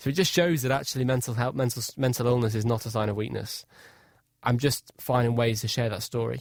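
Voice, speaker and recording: A man with a northwest English accent talks very fast at medium pitch with ordinary pitch variation. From Cheshire, England. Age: 20s. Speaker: inspirational speaker and adventurer. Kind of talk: radio interview. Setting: radio studio.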